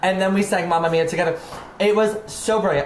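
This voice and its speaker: Speaking fairly quickly with an American accent, a woman uses an animated tone at a medium pitch with ordinary pitch variation, and the recording has noticeable background noise and audible room echo. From Maryland. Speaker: drag artist. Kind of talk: casual chat.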